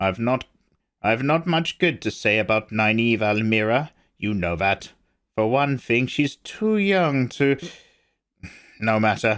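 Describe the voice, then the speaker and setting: In a put-on character voice, a man speaks medium in pitch and rumbling, at a fairly slow pace with long, frequent pauses, lively intonation and very even loudness. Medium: read story. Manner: sour, grumbling.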